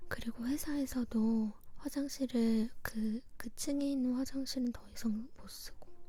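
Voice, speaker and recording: Soft-spoken whispering at a fairly slow pace, hardly any pauses, music in the background. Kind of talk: scary story retold in informal speech. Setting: quiet home recording setup. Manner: soft, non-whispered, intimate.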